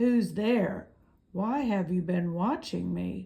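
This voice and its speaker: In a put-on character voice, a female-sounding speaker hisses at a medium pitch and a very slow pace. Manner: hissing, suspicious.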